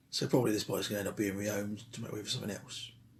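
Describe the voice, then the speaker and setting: A man talks at a very fast pace in a medium pitch. His voice is somewhat breathy. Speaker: motorcycle restoration vlogger. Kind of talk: casual workshop vlog. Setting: shed.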